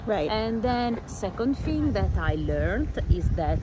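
The speaker has an Italian accent and talks at a fairly slow pace. Noticeable background noise can be heard. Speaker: fellow traveler. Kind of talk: casual interview. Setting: outdoors.

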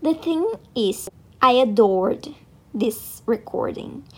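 Speaking with a non-native accent, a woman keeps a fairly high pitch. She goes at a very slow pace with very wide pitch swings. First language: not English. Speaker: podcast host. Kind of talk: casual chat.

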